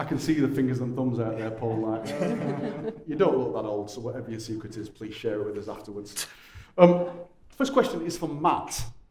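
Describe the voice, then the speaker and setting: Speaking in a strong Lancashire accent with lively intonation at a fairly quick pace, the voice has long, frequent pauses and big swings in loudness, with audible room echo and noticeable background noise. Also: man, medium pitch for a man. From Lancashire, northern England. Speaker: panel moderator. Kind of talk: panel discussion hosting. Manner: informal, jokey.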